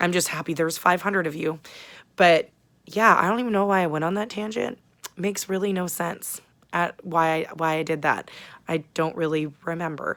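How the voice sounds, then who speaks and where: This woman's voice is fairly low in pitch, with ordinary pitch variation and a moderate pace. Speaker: booktube vlogger. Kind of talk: casual vlog chat. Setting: small apartment, sitting on bed. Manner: loud.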